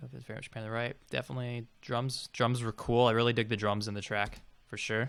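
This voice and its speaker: Very fast, monotone delivery with flat intonation and big swings in loudness, on a very clean recording with a silent background. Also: man, medium pitch for a man. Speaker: music producer streamer reviewing tracks. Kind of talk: live stream track review.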